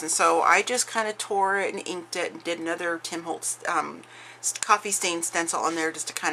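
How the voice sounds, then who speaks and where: With noticeable background noise, a woman speaks fairly quickly in a fairly low pitch. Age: 40s. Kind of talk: casual craft flip-through talk to camera.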